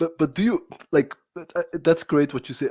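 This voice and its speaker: A man talks with a Bulgarian accent. His tone is dark and mellow. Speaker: podcast host. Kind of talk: interview. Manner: halting.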